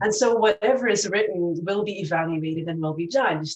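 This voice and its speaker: A woman's fairly low voice moves along at a moderate pace. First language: not English. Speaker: professor. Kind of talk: personal reflection.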